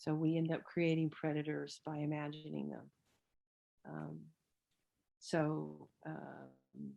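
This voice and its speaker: A woman talks at a very slow pace, leaving long, frequent pauses. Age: 60s. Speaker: theologian and lecturer. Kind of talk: lecture conversation with Q&A.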